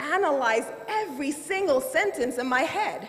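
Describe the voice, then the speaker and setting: The speaker moves at a fairly slow pace with very wide pitch swings. Audible room echo and noticeable background noise fill the recording. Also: woman. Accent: Nigerian. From Nigeria. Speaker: lawyer and finance executive. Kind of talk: keynote speech.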